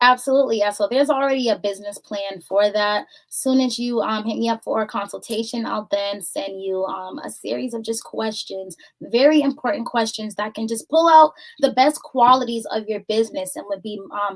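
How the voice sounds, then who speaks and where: A woman's fairly high voice in an American accent, fairly quick, with ordinary pitch variation. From Boston, Massachusetts. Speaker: voiceover artist and business owner. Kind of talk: interview. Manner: soft-spoken; calm.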